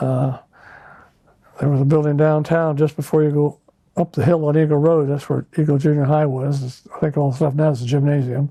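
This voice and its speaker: A man with a western US accent speaks at a moderate pace and fairly high pitch, somewhat breathy with a dark, mellow tone and monotone, flat intonation. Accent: western American. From Idaho, Boise area. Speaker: local resident interviewee. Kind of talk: oral history interview. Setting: at home. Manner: hesitant, with many fillers.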